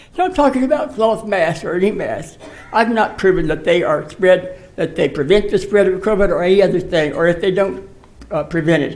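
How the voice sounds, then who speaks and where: A man speaks in a high voice. Noticeable background noise can be heard. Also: ordinary pitch variation, fairly quick pace. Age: 80s+. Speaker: public commenter. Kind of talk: public comment. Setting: city council meeting.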